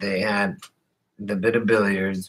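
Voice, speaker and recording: A man talks with an American accent at a fairly low pitch. His tone is bright and sharp. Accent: sounds like a Californian surfer, per others. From Colorado. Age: 40s. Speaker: vlogger. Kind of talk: casual chat. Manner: slow; slurred.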